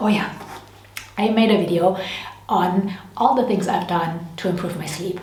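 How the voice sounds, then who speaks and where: Amid noticeable background noise and audible room echo, a woman talks at medium pitch. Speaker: beauty and lifestyle vlogger. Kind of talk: casual product review vlog. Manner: fast when excited; animated.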